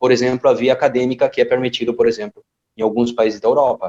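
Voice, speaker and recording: This is a man talking. He has a Spanish accent. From Argentina. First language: Spanish (speaking Portuguese). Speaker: football coach educator. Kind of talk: podcast interview.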